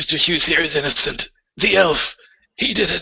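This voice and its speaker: In a put-on character voice, a man speaks raspy and high-pitched at a fairly quick pace. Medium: actual play. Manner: fervent, zealous.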